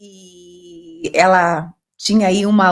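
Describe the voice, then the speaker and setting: A woman's plain, everyday voice at medium pitch, with fairly even intonation. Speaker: podcast host. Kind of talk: casual interview.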